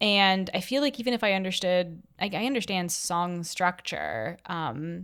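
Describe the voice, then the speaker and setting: A woman with a Canadian accent speaks at medium pitch in a normal speaking voice, fairly slowly and with lively intonation, hardly pausing at all. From Toronto, Canada. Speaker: fado singer. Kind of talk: casual interview.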